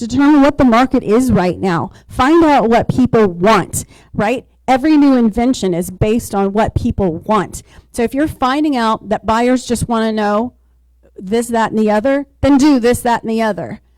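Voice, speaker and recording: A woman with an unremarkable speaking voice talks at a moderate pace and a fairly high pitch, with ordinary pitch variation. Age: 60s. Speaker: real estate agent, panelist. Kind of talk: panel discussion.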